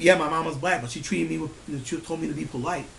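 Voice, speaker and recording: A man talking at a very fast pace, with audible room echo and noticeable background noise. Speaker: vlogger ranting on camera. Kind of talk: angry rant to camera. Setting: at home, family sleeping. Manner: loud; animated, profane.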